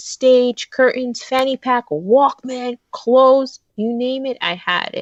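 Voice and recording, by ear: The sound is dry and close, with no echo. A woman speaks at a fairly slow pace in a fairly high pitch.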